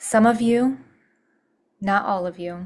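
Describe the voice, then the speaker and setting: A woman speaks in a somewhat breathy voice. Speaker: spiritual healer. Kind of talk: channeled spiritual message. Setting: solo video recording.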